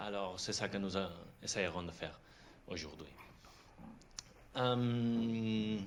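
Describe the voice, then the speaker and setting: Speaking at a very slow pace with long, frequent pauses, a man uses a fairly low pitch with ordinary variation, and the room echo is audible. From Catalonia. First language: Catalan or Spanish (speaking French). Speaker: film director. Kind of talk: masterclass talk. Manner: halting.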